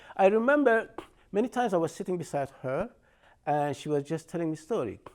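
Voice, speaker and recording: A man with an Iranian accent speaks at a high pitch and a fairly quick pace. His pitch swings very widely in a very clean recording with a silent background. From Iran, Shiraz. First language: Persian. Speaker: artist and storyteller. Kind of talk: lecture. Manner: halting.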